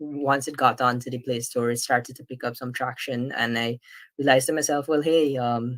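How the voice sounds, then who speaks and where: His medium pitch held in monotone, flat intonation, a man speaks. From Guyana. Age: 20s. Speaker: apprentice software developer, conference speaker. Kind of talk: tech conference talk. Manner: hesitant, many fillers.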